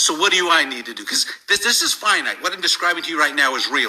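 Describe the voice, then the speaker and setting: Noticeable background noise accompanies this man's voice. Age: 60s. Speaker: network marketing leader. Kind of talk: sales pitch. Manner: animated.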